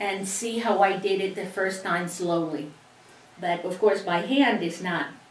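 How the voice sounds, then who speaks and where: Amid noticeable background noise and audible room echo, a woman at a medium pitch talks at a fairly slow pace with fairly even intonation. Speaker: sewing instructor. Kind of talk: tutorial.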